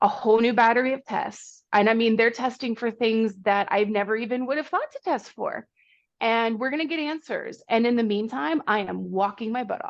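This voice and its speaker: A normal speaking voice with an American accent, moderate pace and ordinary pitch variation, over a quiet background. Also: woman, fairly high pitch for a woman. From Pennsylvania, Pittsburgh. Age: 30s. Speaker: runner. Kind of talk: casual chat.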